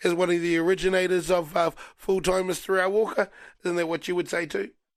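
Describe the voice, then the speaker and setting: In a New Zealand accent, a man with a high pitch races along at a very fast pace in a monotone, flat delivery, recorded very cleanly against a silent background. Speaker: radio host. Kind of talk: casual chat.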